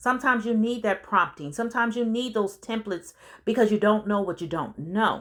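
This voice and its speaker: A woman with a normal speaking voice and fairly high pitch talks at a fairly quick pace, her pitch varying in an ordinary way, on a very clean recording with a silent background. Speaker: business coach and consultant. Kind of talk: audiobook narration with casual asides. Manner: conversational, informal.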